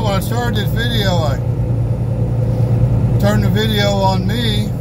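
A man speaks at a fairly slow pace, with loud background noise throughout. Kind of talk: casual vlog chat. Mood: relaxed, chatty. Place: car. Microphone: phone near.

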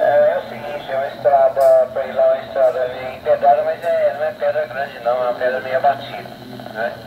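Background noise is noticeable. The speech moves at a fairly quick pace. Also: man. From Brazil. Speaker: ham radio operator. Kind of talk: radio conversation. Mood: friendly, congratulatory. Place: bar. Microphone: two way radio.

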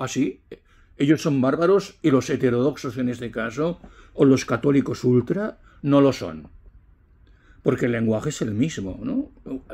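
A man's dark, mellow voice at medium pitch, with lively intonation, a fairly slow pace and long, frequent pauses. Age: 70s. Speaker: retired teacher vlogger; commentator. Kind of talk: opinion monologue; casual vlog opinion talk. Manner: conversational. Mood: indignant, reflective. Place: home room. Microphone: phone near.

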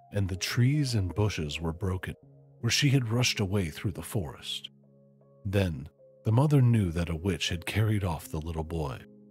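Over background music, a man with a very deep, low pitch speaks at a fairly slow pace with very wide pitch swings, the sound dry with no echo. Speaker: storyteller streamer. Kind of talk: story reading aloud.

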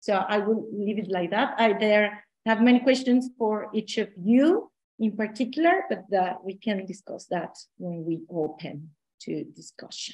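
A woman with a Spanish accent, somewhat breathy and fairly high in pitch, at a fairly slow pace with lively intonation against a quiet background. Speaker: academic panel respondent. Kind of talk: online panel discussion. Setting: video call. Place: home room. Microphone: video call.

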